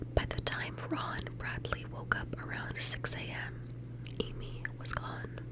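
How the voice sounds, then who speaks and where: Against noticeable background noise, a woman with a very deep, low pitch speaks in a calm tone and a flat monotone. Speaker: ASMR true crime narrator. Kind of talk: true crime ASMR narration. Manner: soft-spoken, calm, whispery.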